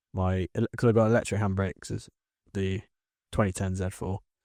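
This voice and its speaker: The voice has a dark, mellow tone, an English accent and monotone, flat intonation. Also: man. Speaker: car podcast co-host. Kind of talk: casual chat.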